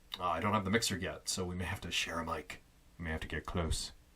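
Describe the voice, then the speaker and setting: Very fast and bright, sharp in tone, a man's voice races along. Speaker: youtuber testing home recording studio. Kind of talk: casual vlog monologue. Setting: small closet home studio. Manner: loud; casual, halting with fillers.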